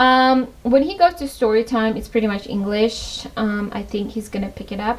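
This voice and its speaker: Speaking in a Tajik accent, a woman uses a fairly high pitch, ordinary pitch variation and a moderate pace. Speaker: lifestyle vlogger, mother. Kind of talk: home tour vlog. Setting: at home. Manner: casual, hesitant with fillers.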